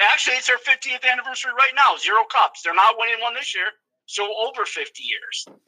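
This man speaks in a raised, projected voice with an extremely high pitch, ordinary pitch variation and a fairly quick pace, in a dry, close sound with no echo. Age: 40s. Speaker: hockey fan co-host. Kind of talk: casual chat.

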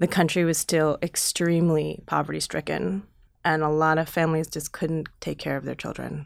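A woman with a Chicago accent at a moderate pace. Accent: US Midwest (Chicago area). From Chicago suburbs, US Midwest. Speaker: documentary filmmaker and actor. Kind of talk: interview conversation.

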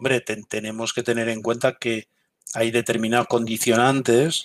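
A man speaks at a medium pitch and a moderate pace, a normal speaking voice. The recording is very clean with a silent background and a dry, close sound with no echo. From Galicia, Spain. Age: 50s. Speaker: military intelligence veteran. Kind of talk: interview.

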